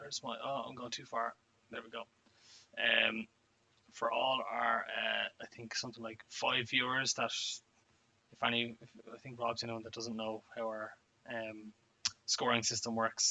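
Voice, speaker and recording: Speaking at a moderate pace with long, frequent pauses, a man of medium pitch uses monotone, flat intonation in an Irish accent, with big swings in loudness. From Ireland. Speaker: wargaming player. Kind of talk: casual chat. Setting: live stream.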